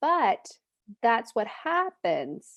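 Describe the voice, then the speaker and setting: In a quiet background with a dry, close sound and no echo, a woman's pitch swings very widely. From Poland. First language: Polish. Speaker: accent coach, speech-language pathologist. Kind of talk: pronunciation lesson.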